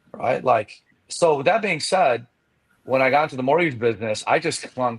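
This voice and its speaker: A man with a medium pitch speaks at a fairly quick pace, his voice somewhat breathy and his intonation lively. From Chicago, US. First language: not English. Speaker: mortgage professional and coach. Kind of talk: podcast interview. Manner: casual, filler-heavy.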